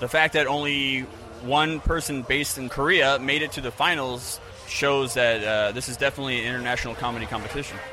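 Over noticeable background noise, a man with an American accent talks at a fairly quick pace with a fairly high pitch and ordinary pitch variation. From Florida. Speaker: comedy event organizer. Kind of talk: interview.

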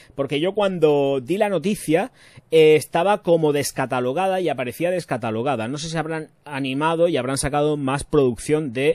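With ordinary pitch variation, this man's speech keeps a moderate pace. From Spain, Murcia. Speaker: YouTube perfume reviewer. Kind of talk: casual livestream chat. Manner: animated.

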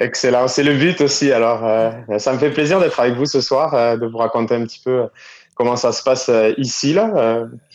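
A man talks at a medium pitch and moderate pace. His pitch varies in an ordinary way. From southwestern France. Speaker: entrepreneur. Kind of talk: phone interview.

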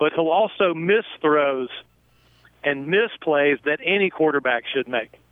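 An ordinary speaking voice from a man with an American accent, fairly high in pitch, lively in intonation, very even in loudness, and fairly slow in pace. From North Carolina. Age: 60s. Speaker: football play-by-play announcer. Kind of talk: radio interview.

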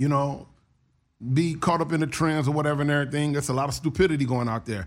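Fairly high in pitch, a man talks in an ordinary speaking voice with fairly even intonation. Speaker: podcast host. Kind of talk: casual chat.

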